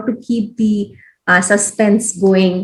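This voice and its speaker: In an Odisha accent, the somewhat breathy voice holds a fairly even intonation. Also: woman. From India, Odisha. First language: Odia. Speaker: education program leader, former journalist. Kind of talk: interview. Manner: hesitant, many fillers.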